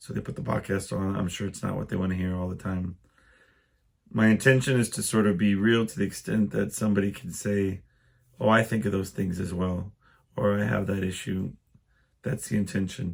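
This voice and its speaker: On a very clean recording with a silent background, a man with a fairly low voice and ordinary pitch variation talks at a fairly quick pace, though with long, frequent pauses. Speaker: podcast host. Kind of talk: casual solo podcast monologue. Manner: hesitant, many ums.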